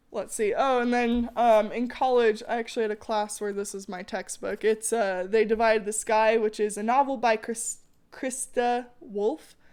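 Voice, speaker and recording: Heard in a very clean recording with a silent background, a woman speaks at a fairly high pitch with fairly even intonation. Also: moderate pace, hardly any pauses. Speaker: teacher. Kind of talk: lecture.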